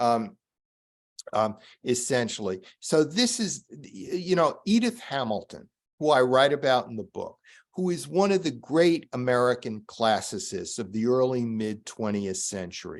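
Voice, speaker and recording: A man speaks at a medium pitch and a fairly slow pace. His pitch swings very widely. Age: 70s. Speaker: author and foreign correspondent. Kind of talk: moderated discussion. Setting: Zoom webinar. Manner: halting, many fillers.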